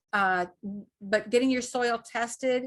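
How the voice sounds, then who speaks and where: The woman's pitch varies in an ordinary way as she talks. Her pace is fairly slow, against a quiet background. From Northern Virginia (Fairfax County). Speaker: gardening workshop presenter. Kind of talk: online workshop presentation. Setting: video call. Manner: hesitant, many fillers.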